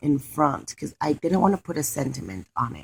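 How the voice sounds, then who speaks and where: A fairly quick pace with a non-native accent, in a dry, close sound with no echo. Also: woman. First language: not English. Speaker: craft video creator. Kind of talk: crafting tutorial. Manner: casual, hesitant with fillers.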